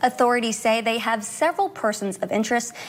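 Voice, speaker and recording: Speaking at a very fast pace over noticeable background noise, a woman uses a fairly high voice. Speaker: TV news anchor and reporter. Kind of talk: TV news anchoring and reporting.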